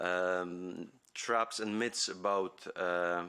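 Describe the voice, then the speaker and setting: With a Polish accent, a man speaks in a bright, sharp tone with fairly even intonation. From Poland (Poznań). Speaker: university academic and foundation president. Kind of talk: conference talk. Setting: conference hall. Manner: halting, many fillers.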